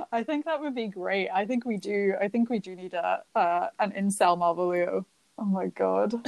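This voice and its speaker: At a moderate pace, a woman with a Scottish accent speaks in a medium pitch with ordinary pitch variation, her sound dry and close with no echo. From Scotland. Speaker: postgraduate student and museum outreach worker. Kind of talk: casual chat.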